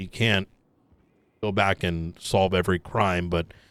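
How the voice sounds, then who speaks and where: Putting on a character voice, a man speaks raspy and very deep at a moderate pace, on a very clean recording with a silent background. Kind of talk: casual roleplay interrogation. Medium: game stream. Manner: deliberate, hedging, thinking aloud.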